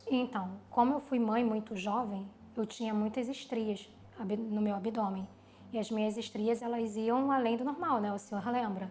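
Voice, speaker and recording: This ordinary speaking voice moves at a moderate pace, its intonation fairly even. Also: woman, fairly high pitch for a woman. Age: 30s. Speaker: plastic surgery patient. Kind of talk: testimony.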